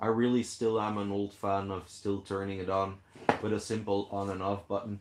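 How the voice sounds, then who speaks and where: Monotone, flat intonation from a man at a moderate pace, with noticeable background noise. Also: fairly low pitch for a man. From Belgium (Flanders). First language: Dutch (Flemish). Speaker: fishkeeping live streamer. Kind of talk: casual live stream chat.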